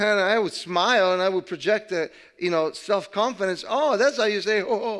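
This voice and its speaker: A man speaks with a high pitch for a man. The background is quiet. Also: ordinary pitch variation, moderate pace. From Italy. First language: Italian. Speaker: pastor. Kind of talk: sermon. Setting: church.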